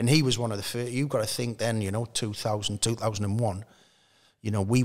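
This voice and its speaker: The speaker has a Geordie accent and a monotone, flat intonation. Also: man. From north-east England (Newcastle). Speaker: former professional footballer; guest. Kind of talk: casual interview. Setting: at the stadium bar. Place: studio. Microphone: studio mic.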